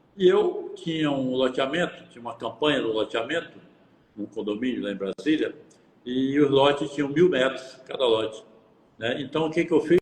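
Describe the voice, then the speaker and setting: Over noticeable background noise, a man with fairly high pitch speaks with big swings in loudness. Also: ordinary pitch variation, moderate pace. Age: 70s. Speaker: real estate broker and mentor. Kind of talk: tutorial; casual chat.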